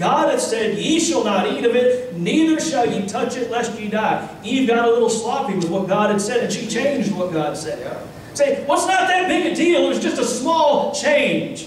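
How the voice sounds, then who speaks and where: In a room with audible echo and light background noise, a man with an extremely high pitch talks at a moderate pace with lively intonation and hardly any pauses. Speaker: Baptist pastor. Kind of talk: sermon preaching to a congregation. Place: church.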